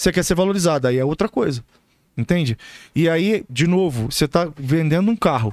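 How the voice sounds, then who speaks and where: Against a quiet background, a man with a high pitch and very wide pitch swings talks at a fairly quick pace, the sound dry with no echo. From Brazil. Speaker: relationship expert; podcast guest, relationship coach. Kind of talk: casual chat. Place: studio. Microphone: studio mic.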